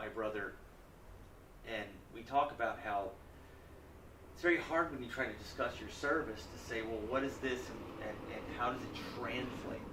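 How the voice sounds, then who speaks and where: A man speaks with ordinary pitch variation and long, frequent pauses. The room echo is audible, and there is noticeable background noise. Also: medium pitch for a man. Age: 40s. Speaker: congressional candidate and military veteran. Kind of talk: interview. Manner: fast.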